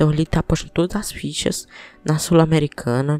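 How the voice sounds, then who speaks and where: Dry and close with no echo, a man with a fairly high pitch and a dark, mellow tone speaks at a fairly quick pace with ordinary pitch variation. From Piauí, Brazilian Northeast. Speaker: football podcast host. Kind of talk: casual football podcast commentary.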